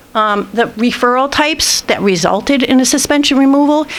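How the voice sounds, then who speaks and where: A woman's fairly high voice comes through over noticeable background noise. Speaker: school administrator presenting data. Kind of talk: board meeting presentation. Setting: school board meeting. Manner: fast.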